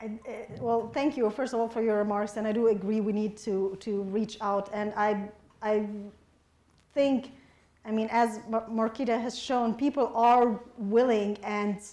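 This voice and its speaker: A woman's monotone, flat intonation with an Arabic accent. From Egypt, Alexandria. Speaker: novelist. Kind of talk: audience Q&A at a book event. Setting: public forum with audience.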